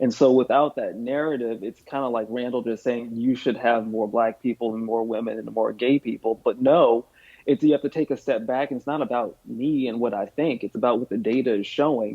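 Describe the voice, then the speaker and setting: With an American accent, a man talks at a fairly quick pace in a medium pitch, with fairly even intonation and hardly any pauses. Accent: Southern twang, stronger when sleepy. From US South. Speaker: chief inclusion officer. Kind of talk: podcast interview.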